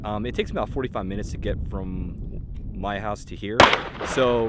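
Loud background noise accompanies a man talking. No echo colors the dry sound. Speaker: range reviewer. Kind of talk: casual vlog chat. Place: open country. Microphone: phone near.

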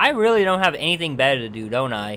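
A man talks with very wide swings in pitch. Music plays in the background. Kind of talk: video game review narration. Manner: casual, humorous.

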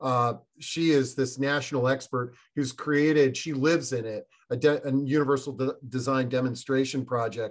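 A man speaks at a moderate pace in a monotone, flat intonation. The background is quiet. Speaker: webinar host. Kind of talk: moderated live webinar discussion. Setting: online video webinar. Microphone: video call.

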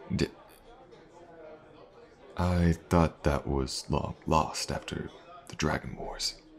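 A man uses a put-on character voice at an extremely low pitch, speaking slowly with vocal fry and fairly even intonation.

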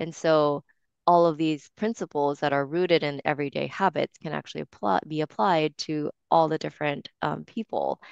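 Delivered at a moderate pace with fairly even intonation, the speech has a dry sound with no echo and a quiet background. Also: woman, very deep, low pitch for a woman. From Japan. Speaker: wellness coach and entrepreneur; wellness coach. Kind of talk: interview. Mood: warm, reflective. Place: home room. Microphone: headset.

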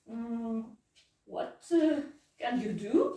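A woman's lively intonation in a Russian accent, with audible room echo over a quiet background. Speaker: English teacher. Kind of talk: English lesson role-play interview with a child; lesson wrap-up, giving gifts. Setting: classroom. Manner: slow, simple, encouraging teacher talk. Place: classroom. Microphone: camera far.

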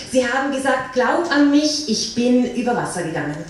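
Amid strong room echo and light background noise, a woman talks at a moderate pace in a high pitch. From Austria. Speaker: slam poet. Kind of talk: poetry slam performance. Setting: live stage. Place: hall.

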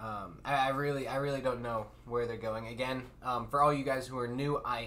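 A man speaks at a very fast pace. Light background noise can be heard. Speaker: anime reaction streamer. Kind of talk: casual vlog chat. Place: home room. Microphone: studio mic.

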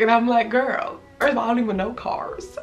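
A woman with a Southern California accent, faint music in the background. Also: fairly bright tone. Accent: American, urban Southern California.

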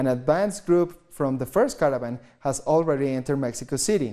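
The man's fairly high voice has a dark, mellow tone and ordinary pitch variation. He speaks at a moderate pace over a quiet background. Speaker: news anchor. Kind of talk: news reading. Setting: studio. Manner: formal. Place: studio. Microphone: lapel.

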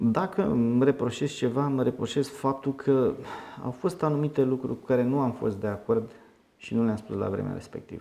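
A man with a dark, mellow tone and ordinary pitch variation. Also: moderate pace. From Romania, Teleorman county; Romania. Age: 30s. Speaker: politician. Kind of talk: interview. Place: meeting room. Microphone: handheld.

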